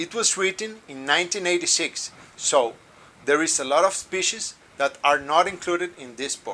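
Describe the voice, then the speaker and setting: This man speaks with a Colombian accent at a moderate pace, his pitch high for a man. His intonation is lively, and there is noticeable background noise. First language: Spanish. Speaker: birding guide. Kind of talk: review.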